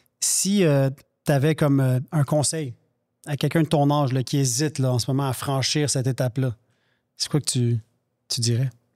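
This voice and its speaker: Moderate-paced speech from a man, fairly high in pitch with a dark, mellow tone and ordinary pitch variation, over a quiet background. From Quebec. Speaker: podcast co-host. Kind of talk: casual interview. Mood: calm, earnest. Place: studio. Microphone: studio mic.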